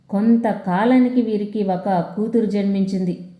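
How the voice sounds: A dark, mellow tone at a moderate pace, with fairly even intonation and strong room echo. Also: woman, medium pitch for a woman.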